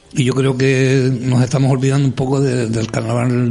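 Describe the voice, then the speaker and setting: A man at a medium pitch and a moderate pace, against noticeable background noise. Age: 60s. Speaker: carnival group president. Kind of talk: interview.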